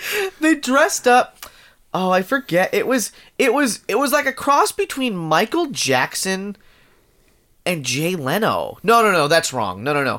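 On a very clean recording with a silent background, a man's raised, projected voice, high-pitched and bright and sharp in tone, moves fairly slowly through very wide pitch swings. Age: 30s. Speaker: podcast co-host. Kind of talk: casual chat.

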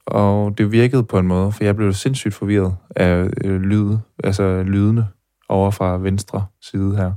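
A dark, mellow tone with monotone, flat intonation at a fairly slow pace, very even loudness, and a very clean recording with a silent background. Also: man, fairly low pitch for a man. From Denmark, Herning (Jutland). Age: 20s. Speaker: podcast host. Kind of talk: personal documentary narration. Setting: café.

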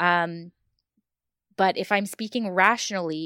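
Here is an unremarkable speaking voice with ordinary pitch variation, going at a fairly slow pace. The sound is close and dry, free of echo. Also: woman. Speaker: guest co-reviewer. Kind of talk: casual chat.

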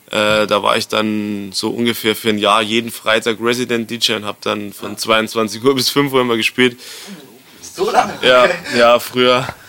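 With noticeable background noise behind him, a man speaks at a moderate pace and a medium pitch with fairly even intonation. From Bavaria, rural area near Erding. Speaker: DJ and music producer. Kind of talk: casual interview. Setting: hotel lobby.

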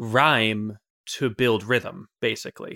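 A man's bright, sharp tone comes through in a very clean recording with a silent background. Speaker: podcast host and music YouTuber. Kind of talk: casual chat. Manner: fast talker.

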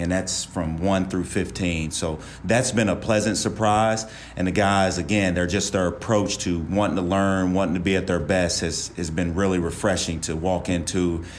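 In an American accent, a man with a very deep, low pitch talks at a moderate pace with fairly even intonation, and audible room echo surrounds his voice. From West Virginia. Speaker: college basketball assistant coach. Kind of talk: podcast interview.

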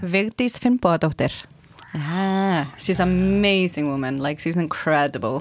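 A woman with an Icelandic accent speaks at a fairly slow pace and a fairly low pitch, her tone animated and her intonation lively. The recording is very clean, with a silent background. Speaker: project manager, Icelandic local guest. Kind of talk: casual chat. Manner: animated, laughs often.

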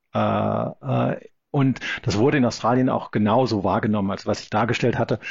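Lively intonation and vocal fry in a man's fairly low voice, at a moderate pace. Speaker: law professor. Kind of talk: interview. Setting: remote call from Sydney. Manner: halting, many fillers.

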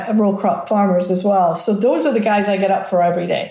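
A speaker talks with an American accent. Noticeable background noise runs underneath. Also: woman. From rural Scotland. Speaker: chief marketing officer. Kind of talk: interview. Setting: on location in the desert.

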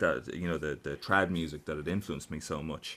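The speaker has an Irish accent and fairly even intonation. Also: man. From Ireland, County Carlow. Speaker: musician. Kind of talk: interview.

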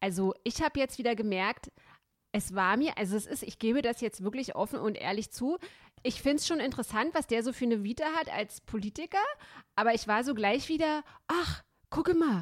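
With an unremarkable speaking voice, a woman talks at a fairly quick pace and fairly high pitch, her intonation lively and the sound dry and close with no echo. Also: very clean recording, silent background. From East Germany. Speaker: podcast host and columnist. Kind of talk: casual chat.

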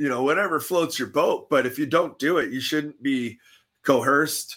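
In a very clean recording with a silent background, a man with a Canadian accent speaks at a fairly high pitch, his bright, sharp tone showing ordinary pitch variation. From Canada. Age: 40s. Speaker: army veteran. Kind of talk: casual interview.

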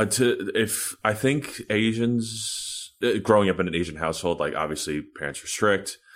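On a very clean recording with a silent background, a man with an American accent speaks at a moderate pace and fairly low pitch, with ordinary pitch variation and hardly any pauses. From New York City (Washington Heights). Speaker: violinist, orchestra concertmaster. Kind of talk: interview. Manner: halting, many repetitions and fillers.

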